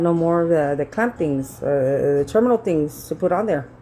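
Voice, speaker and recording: Music plays in the background as a woman speaks at a fairly slow pace. Her voice is fairly low in pitch and her tone is animated. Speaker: vlogger. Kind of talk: casual vlog storytelling. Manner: loud; animated, conversational.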